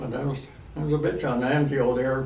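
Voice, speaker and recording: There is noticeable background noise behind this man. His voice is medium in pitch, with fairly even intonation. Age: 80s+. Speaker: war veteran. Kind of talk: interview answer.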